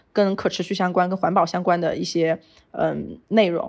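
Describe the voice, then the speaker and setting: Against a quiet background, a woman of medium pitch speaks at a moderate pace with vocal fry and fairly even intonation. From Sichuan, China. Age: 30s. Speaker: outdoor lifestyle brand founder. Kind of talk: interview conversation. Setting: remote call.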